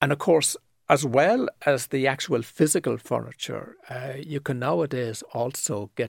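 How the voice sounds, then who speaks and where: With a Cork accent, a man speaks at a fairly slow pace with hardly any pauses. His medium-pitched voice shows vocal fry and ordinary pitch variation, recorded dry and close with no echo. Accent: Cork Irish. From Ireland, east Cork (seaside town). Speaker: property photographer. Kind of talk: casual interview. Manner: articulate, measured.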